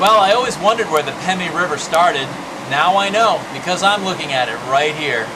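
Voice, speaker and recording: A high-pitched man with lively intonation at a fairly quick pace, amid audible room echo. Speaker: travel show host. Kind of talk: scripted narration. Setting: outdoors. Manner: loud.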